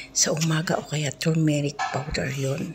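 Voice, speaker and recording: Quiet speech over noticeable background noise. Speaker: overseas domestic worker vlogger. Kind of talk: mukbang vlog. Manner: quiet voice-over.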